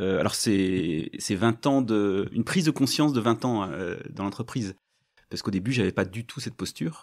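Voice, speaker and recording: A man speaks in a fairly low voice at a moderate pace. His intonation is lively. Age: 50s. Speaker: company director. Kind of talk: podcast interview. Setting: on location at company premises. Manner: halting, with many hesitations.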